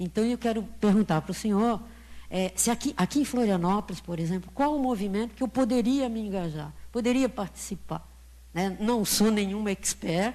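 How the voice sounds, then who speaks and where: Her tone dark and mellow and somewhat breathy, a woman speaks at a medium pitch and moderate pace with ordinary pitch variation against a quiet background. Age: 70s. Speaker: audience member. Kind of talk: audience question at a lecture Q&A.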